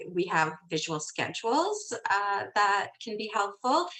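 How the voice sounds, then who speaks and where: Delivered in a normal speaking voice, the speech moves at a fairly slow pace. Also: woman. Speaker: parent conference presenter. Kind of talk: virtual conference presentation.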